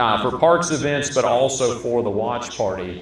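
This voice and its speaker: A man speaks with an American accent. Noticeable background noise and audible room echo accompany him. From Minnesota. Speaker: local elected official. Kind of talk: town hall Q&A. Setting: public meeting at a restaurant.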